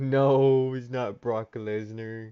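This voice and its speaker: A man's voice with an animated tone. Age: 30s. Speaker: livestreamer opening trading cards. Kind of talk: casual livestream chat. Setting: home livestream with webcam. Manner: loud; casual, animated.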